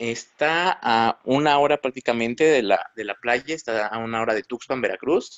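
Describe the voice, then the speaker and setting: An ordinary speaking voice at a moderate pace, with hardly any pauses and ordinary pitch variation. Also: man, medium pitch for a man. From Mexico, Tlaxcala. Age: 20s. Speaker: computer engineer and amateur photographer. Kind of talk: interview.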